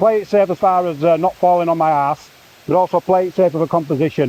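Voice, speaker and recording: With a Yorkshire accent, a man speaks fairly quickly at a high pitch. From Yorkshire, northern England. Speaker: landscape photographer. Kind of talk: casual vlog narration. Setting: outdoors at a waterfall. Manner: loud, shouting over water.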